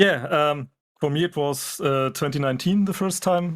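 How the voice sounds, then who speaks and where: Speaking with a German accent, a man uses a fairly high pitch, ordinary pitch variation and a moderate pace. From Germany. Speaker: furry fandom guest. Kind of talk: casual chat. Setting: livestream video call. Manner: halting.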